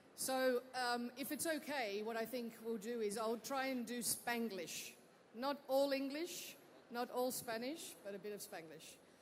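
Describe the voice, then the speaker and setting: With audible room echo behind her, a woman talks at a fairly slow pace in a high voice with ordinary pitch variation. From Australia. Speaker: technology executive. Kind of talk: onstage interview. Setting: stage with audience.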